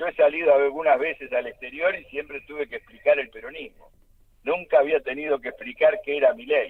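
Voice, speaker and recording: This man speaks at a fairly quick pace with an Argentine accent, his loudness swinging widely. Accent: Argentine Spanish (Rioplatense). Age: 70s. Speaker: political activist. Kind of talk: radio interview. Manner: halting.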